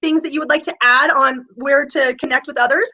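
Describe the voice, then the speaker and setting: High pitch from a woman, with ordinary pitch variation. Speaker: interview host, body code practitioner. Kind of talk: interview. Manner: fast; enthusiastic.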